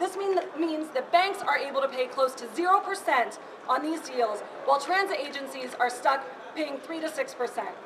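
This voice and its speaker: A woman talks with a high pitch. Noticeable background noise is present. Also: ordinary pitch variation, fairly slow pace. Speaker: activist speaker. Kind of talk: protest speech. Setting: bank lobby protest. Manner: forceful, rallying, formal. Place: hall. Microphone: camera far.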